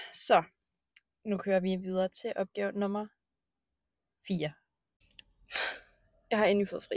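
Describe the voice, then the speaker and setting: The woman's intonation is monotone and flat. She talks at a fairly slow pace. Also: medium pitch for a woman, dry, close sound with no echo. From Denmark, Bornholm. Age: 20s. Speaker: vlogger, cleaner and horse therapist. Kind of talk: casual vlog monologue. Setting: in a car and at the stable. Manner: hesitant with many fillers.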